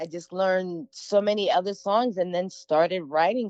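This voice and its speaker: Speaking in an ordinary speaking voice, she sits at a medium pitch for a woman. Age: 40s. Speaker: singer-songwriter. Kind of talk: interview. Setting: audio interview.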